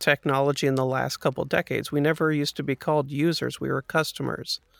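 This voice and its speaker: A man with a fairly high voice talks at a fairly quick pace in a flat monotone, the sound dry and close with no echo. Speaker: podcast co-host. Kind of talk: casual podcast conversation.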